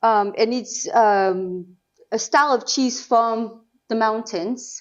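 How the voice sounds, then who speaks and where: Her pitch is fairly high as a woman speaks with a French accent. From Normandy, France. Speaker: cheesemonger. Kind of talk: interview answer.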